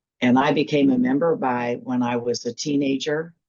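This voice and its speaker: A woman with a Midwestern US accent, a very deep, low pitch, fairly even intonation and a fairly slow pace. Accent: US Midwest. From Kansas. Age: 60s. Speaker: church attorney. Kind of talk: interview.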